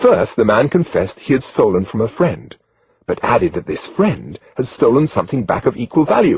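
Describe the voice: Quiet surroundings and plain reading aloud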